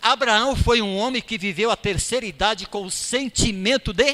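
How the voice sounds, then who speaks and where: A man projects a raised voice with a bright, sharp tone, his pitch swinging very widely. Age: 60s. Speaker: lay preacher. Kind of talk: sermon. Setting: church.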